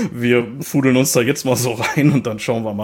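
In a strong Ruhr accent, a man talks at a fairly quick pace with fairly even intonation. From Ruhr area, Germany. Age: 30s. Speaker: metal podcast co-host. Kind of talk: casual chat. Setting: remote recording over headphones.

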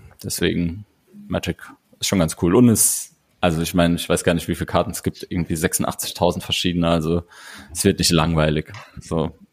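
A man speaks at a very deep, low pitch with fairly even intonation and a moderate pace. His long, frequent pauses come through in a dry, close sound with no echo. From Saarland, Blieskastel. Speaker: board game podcaster. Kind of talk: casual chat. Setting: video call.

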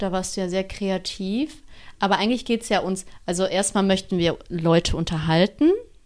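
The recording is very clean, with a silent background. A woman speaks at a moderate pace in a medium pitch with ordinary pitch variation. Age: 30s. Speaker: podcast co-host. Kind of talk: casual chat.

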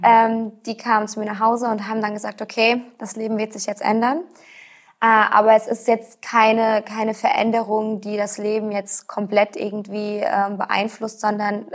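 Her voice sits fairly high, and she talks at a moderate speed. The woman's intonation barely rises or falls. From Rhineland-Palatinate, Germany. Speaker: patient with rare disease. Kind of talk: interview. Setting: studio. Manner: halting, many fillers.

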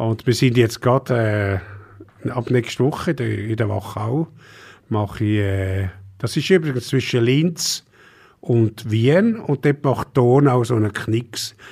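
In a very clean recording with a silent background, a man with a somewhat breathy, medium-pitched voice talks very slowly, with long, frequent pauses and ordinary pitch variation. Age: old. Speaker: wine expert. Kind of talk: casual chat.

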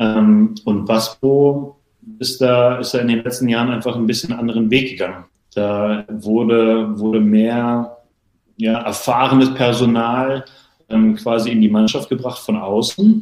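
A normal speaking voice, fairly slow in pace, with fairly even intonation. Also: man, medium pitch for a man. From Berlin, Germany. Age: 30s. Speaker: water polo player. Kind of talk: casual interview.

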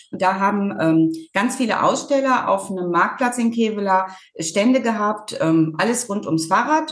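In audible room echo, a woman with a medium pitch speaks at a moderate pace with lively intonation. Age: 50s. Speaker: farmer and rural women's association chair. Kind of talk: interview.

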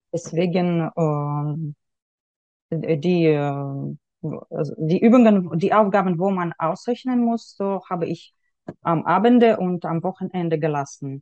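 A woman with a Russian accent speaks at a very slow pace in a fairly low voice with ordinary pitch variation. Her tone is dark and mellow, and the sound is dry and close with no echo. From Russia, Yekaterinburg. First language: Russian (speaking German). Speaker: university graduate, mother. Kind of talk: interview. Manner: halting, non-native.

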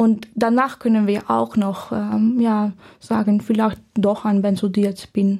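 A woman with a Dutch accent speaks at medium pitch and a very slow pace. Her somewhat breathy voice holds a flat monotone at very even loudness. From Netherlands. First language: Dutch (speaking German). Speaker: medical student. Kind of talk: casual interview. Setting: podcast studio. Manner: halting.

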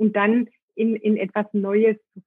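The speaker is a woman with a fairly high pitch. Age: 40s. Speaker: Ayurveda cook and marketing professional. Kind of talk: interview conversation. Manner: hesitant with many fillers.

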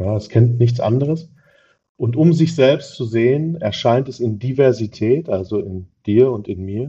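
At a moderate pace, a man speaks at medium pitch in a somewhat breathy voice with ordinary pitch variation. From Ruhr area, Germany (Dortmund). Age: 40s. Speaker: recycling business owner. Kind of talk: interview.

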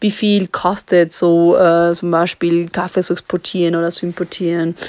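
The sound is dry and close with no echo as a woman with a Spanish accent speaks in a fairly low pitch with monotone, flat intonation. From Ecuador. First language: Spanish (speaking German). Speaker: coffee importer and company co-founder. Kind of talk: voice message. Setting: recorded remotely in Ecuador.

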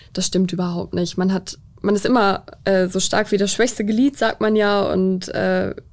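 Moderate pace and monotone, flat intonation. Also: woman. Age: 20s. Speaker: police officer. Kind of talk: interview. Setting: studio.

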